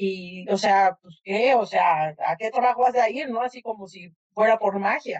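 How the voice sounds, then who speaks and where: An ordinary speaking voice from a woman, fairly high in pitch, with ordinary pitch variation, a fairly slow pace, and a dry, close sound with no echo. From Mexico City. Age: 50s. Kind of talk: interview.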